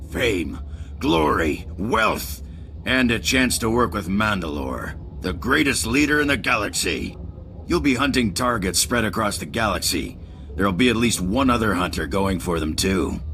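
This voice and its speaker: Over clear background noise, a man does a put-on character voice at a fairly low pitch and a moderate pace. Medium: machinima. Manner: showy, wry.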